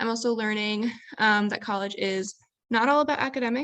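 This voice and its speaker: A woman with a plain, everyday voice, fairly high in pitch, with ordinary pitch variation, at a fairly quick pace, over a quiet background. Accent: American. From US Midwest, Chicago. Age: 20s. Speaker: college student. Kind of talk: panel talk. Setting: video call.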